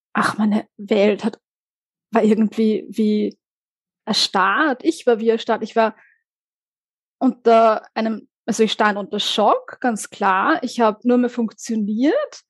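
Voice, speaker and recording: Speaking very slowly with long, frequent pauses, a woman uses a fairly high pitch and ordinary pitch variation in a dry, close sound with no echo. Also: quiet background. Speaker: psychologist and author. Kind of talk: interview testimony.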